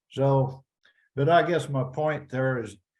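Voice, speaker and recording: Fairly even intonation marks this man's American accent. He talks at a fairly slow pace, with audible room echo. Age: 80s+. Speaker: rancher, former cattle association president. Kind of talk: casual interview conversation. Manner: halting, repeats words.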